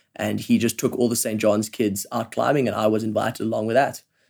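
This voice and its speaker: A man's medium-pitched voice, flat and monotone, at a fairly quick pace. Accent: South African. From South Africa, Johannesburg. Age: 20s. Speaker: professional climber, Olympian. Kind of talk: casual interview chat. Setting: living room couch at home.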